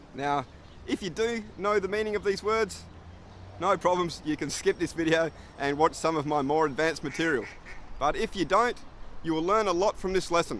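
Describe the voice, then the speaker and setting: Pausing long and often, a man talks in a relaxed tone with an Australian accent. His pitch sits high. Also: ordinary pitch variation, moderate pace. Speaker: English teacher. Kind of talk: tutorial; casual storytelling. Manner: relaxed, friendly.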